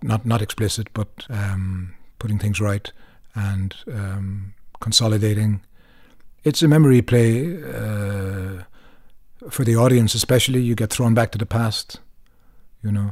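A man with a Cork accent and a somewhat breathy, fairly low voice speaks at a fairly slow pace with ordinary pitch variation and long, frequent pauses, in a very clean recording with a silent background. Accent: Cork Irish. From Ireland, Cork. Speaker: actor. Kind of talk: interview. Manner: halting.

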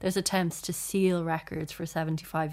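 A woman with an Irish accent and fairly low pitch speaks at a moderate pace in a very clean recording with a silent background. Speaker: journalist and author. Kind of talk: casual chat.

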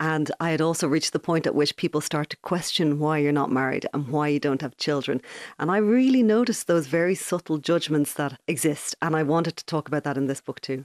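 In a Dublin accent, a woman with a very deep, low pitch talks at a fairly quick pace with hardly any pauses, recorded dry and close with no echo over a quiet background. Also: ordinary pitch variation. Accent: Dublin Irish. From Ireland, Dublin (Ballybrack). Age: 40s. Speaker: journalist and novelist. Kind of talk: interview.

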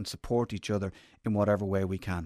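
In an Irish accent, a man talks at a very fast pace. The sound is dry and close with no echo, a very clean recording with a silent background. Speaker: radio presenter and podcast host. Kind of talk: interview about mental health; scripted introduction.

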